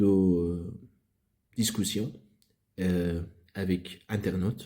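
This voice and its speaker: The speaker is a man with a dark, mellow tone. He has a non-native accent. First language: not French (speaking French). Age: 30s. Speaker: philosophy YouTuber. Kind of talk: channel introduction monologue. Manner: halting, many hesitations.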